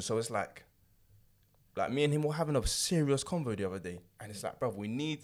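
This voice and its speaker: A man with a London accent, fairly high pitch, very wide pitch swings and a very fast pace, on a very clean recording with a silent background. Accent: Nigerian-heritage London English. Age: 20s. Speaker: podcast co-host. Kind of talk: casual chat.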